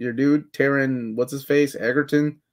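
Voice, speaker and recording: A man's fairly high, monotone voice with flat intonation against a quiet background. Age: 30s. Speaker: pop culture podcast co-host. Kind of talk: casual chat. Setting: livestream. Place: home room. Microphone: webcam.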